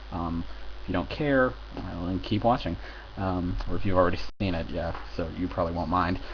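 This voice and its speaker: With an American accent and a very deep, low pitch, a man speaks at a fairly quick pace with very wide pitch swings and long, frequent pauses, in a room with audible echo. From United States. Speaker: film reviewer. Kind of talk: casual video review. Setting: home recording with headphones. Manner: halting, many fillers.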